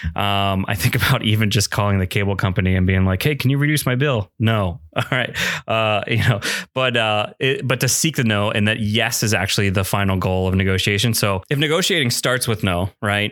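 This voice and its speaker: In a plain, everyday voice, a man with a fairly low pitch speaks at a fairly quick pace with ordinary pitch variation and very even loudness, on a very clean recording with a silent background. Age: 30s. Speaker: podcast host and small groups pastor. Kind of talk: casual chat.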